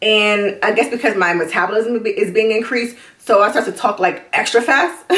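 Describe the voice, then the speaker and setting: This woman talks at a fairly quick pace with very even loudness. Her pitch is fairly high, with ordinary variation. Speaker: vlogger. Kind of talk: video diary. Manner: fast; jittery.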